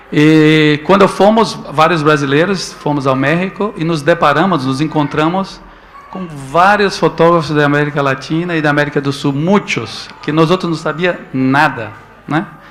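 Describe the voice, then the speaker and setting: A man with a fairly high voice keeps a moderate pace and ordinary pitch variation while noticeable background noise is heard. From Brazil, Northeast. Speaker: photo book editor. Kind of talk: talk to an audience. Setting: stage with audience at a photo book festival. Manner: halting, with repetitions.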